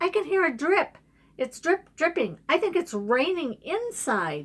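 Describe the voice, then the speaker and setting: A woman uses a squeaky, put-on character voice at an extremely high pitch. She speaks fairly slowly with very wide pitch swings. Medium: read story. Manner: anxious, pleading.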